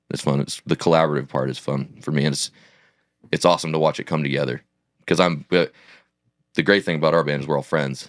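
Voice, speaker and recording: A man with a very deep, low pitch and vocal fry talks at a very fast pace in a monotone, flat intonation with long, frequent pauses, the sound dry and close with no echo. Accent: American. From Oregon. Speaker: country singer. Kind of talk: casual chat.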